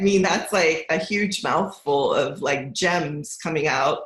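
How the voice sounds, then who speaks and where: The pace is very slow. There is audible room echo. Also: woman. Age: 60s. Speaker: financial coach. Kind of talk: casual chat.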